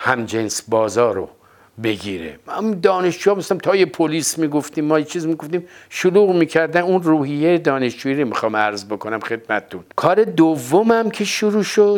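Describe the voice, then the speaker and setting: A man speaks at a moderate pace in a fairly high voice. His pitch swings very widely. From Iran, Tehran. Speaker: theatre actor. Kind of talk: oral history interview.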